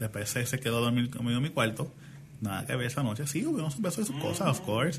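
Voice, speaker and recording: A man talks at a fairly quick pace with very even loudness over noticeable background noise. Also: medium pitch for a man, ordinary pitch variation. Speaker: podcast co-host. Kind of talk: casual chat.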